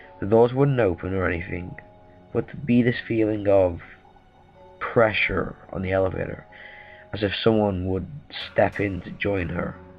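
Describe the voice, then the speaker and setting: Music plays in the background as a man speaks. His fairly low voice leaves long, frequent pauses. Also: ordinary pitch variation, moderate pace. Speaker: creepypasta narrator. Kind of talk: horror story reading.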